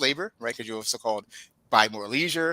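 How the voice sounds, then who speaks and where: A man speaks with a bright, sharp tone. The sound is dry and close, with no echo. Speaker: economist. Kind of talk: webinar presentation. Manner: many fillers and restarts.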